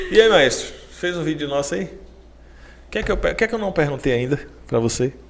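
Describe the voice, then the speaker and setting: Delivered at a moderate pace with a slight Bahian accent, the speech has very wide pitch swings and long, frequent pauses. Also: man, fairly high pitch for a man. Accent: Salvador (soteropolitano) Bahian accent, mild. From Bahia, Brazil. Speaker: podcast host. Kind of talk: casual chat interview.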